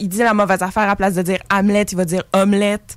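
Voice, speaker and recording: Here a woman is talking with medium pitch. She keeps a moderate pace. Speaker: student theatre performer. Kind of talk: interview.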